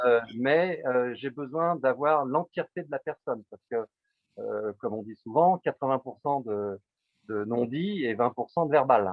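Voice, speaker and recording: A medium-pitched man at a fairly slow pace, with lively intonation and big swings in loudness. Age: 60s. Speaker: psychotherapist. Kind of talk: interview. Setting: video call. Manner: halting.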